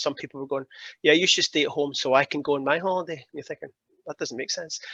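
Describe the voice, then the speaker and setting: A fairly high-pitched man with a Glaswegian accent, in a dry, close sound with no echo against a quiet background. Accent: Glaswegian Scottish. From Scotland, Glasgow. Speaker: keynote speaker on climate policy. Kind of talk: interview talk at online summit. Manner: animated.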